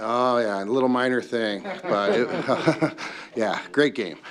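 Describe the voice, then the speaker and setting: Heard with audible room echo, a man talks at a moderate pace and a medium pitch. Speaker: insurance pool administrator. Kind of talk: presentation to city council. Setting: council meeting.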